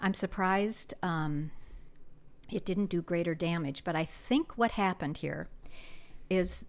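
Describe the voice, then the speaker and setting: A woman speaks at a fairly slow pace and a fairly low pitch, in an unremarkable speaking voice. The recording is very clean, with a silent background. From US Midwest, South Dakota. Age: 60s. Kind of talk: testimony.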